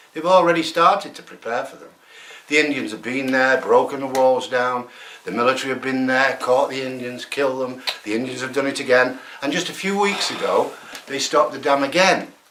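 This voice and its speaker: Over noticeable background noise and audible room echo, a man speaks fairly quickly at a medium pitch with ordinary pitch variation and big swings in loudness. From England. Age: 70s. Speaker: environmental activist. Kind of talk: interview. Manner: animated.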